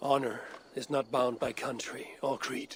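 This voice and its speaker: Using a put-on character voice, a raspy man of medium pitch speaks at a moderate pace. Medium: video game. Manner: blunt, terse.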